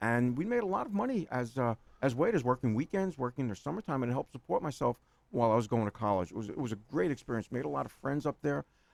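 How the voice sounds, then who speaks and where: A man with a New York accent talks at a very fast pace and a medium pitch. His intonation is lively, and the sound is dry and close with no echo. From New York City (Queens). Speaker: accountant. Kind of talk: interview. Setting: radio studio. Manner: rambling, halting with repetitions.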